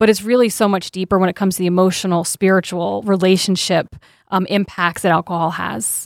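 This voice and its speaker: At a very fast pace, a woman of medium pitch is heard in a dry, close sound with no echo on a very clean recording with a silent background. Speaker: addiction treatment specialist. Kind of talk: radio interview.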